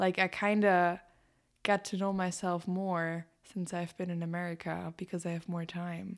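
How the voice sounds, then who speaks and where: In a very clean recording with a silent background, a woman with a fairly low pitch speaks at a moderate pace in a monotone, flat intonation. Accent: German. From Germany, Berlin. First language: German. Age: young. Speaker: exchange student. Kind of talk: casual chat.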